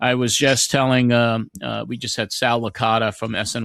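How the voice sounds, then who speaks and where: In an ordinary speaking voice with an American accent, a man talks at a moderate pace and medium pitch, the recording very clean with a silent background and a dry, close sound with no echo. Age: 60s. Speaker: podcast host. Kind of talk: casual interview chat.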